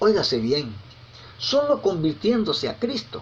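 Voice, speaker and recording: Speaking at a fairly slow pace, a man lets his pitch swing very widely. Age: 60s. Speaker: preacher. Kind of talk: sermon. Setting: recorded message sent over WhatsApp.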